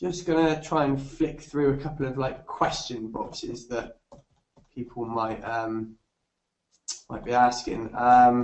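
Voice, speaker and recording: A man's medium-pitched voice at a very slow pace, with ordinary pitch variation and long, frequent pauses. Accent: Bristolian. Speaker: fitness nutrition tutor. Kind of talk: webinar lecture. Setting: online webinar. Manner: halting, many fillers and repetitions; casual.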